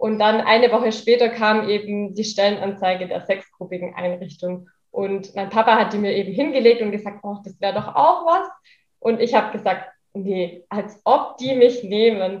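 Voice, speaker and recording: In an unremarkable speaking voice, a woman talks at a moderate pace with medium pitch, ordinary pitch variation and big swings in loudness. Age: 20s. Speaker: daycare center manager, social worker. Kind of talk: interview.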